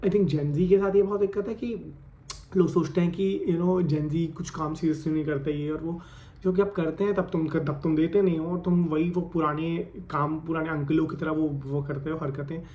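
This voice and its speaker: A man's fairly high voice at a moderate pace, with audible room echo. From India, Ghaziabad (Delhi NCR). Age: 20s. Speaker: vlogger. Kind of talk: casual vlog monologue. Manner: animated, code-switching Hindi-English.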